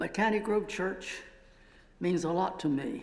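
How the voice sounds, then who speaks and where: With audible room echo around him, a man speaks using ordinary pitch variation. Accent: American. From Pennsylvania. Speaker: retired professor. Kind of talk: church talk.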